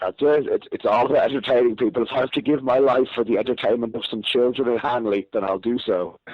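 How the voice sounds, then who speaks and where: The speaker has a Dublin accent. The words come at a very fast pace with hardly any pauses. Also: man, medium pitch for a man, ordinary pitch variation. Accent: Irish (Dublin). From Ireland, Dublin. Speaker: professional wrestler. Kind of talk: podcast interview.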